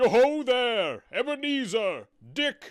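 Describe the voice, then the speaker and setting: A man does a put-on character voice at an extremely high pitch with ordinary pitch variation. He speaks at a fairly slow pace on a very clean recording with a silent background. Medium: read story. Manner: jovial, hearty.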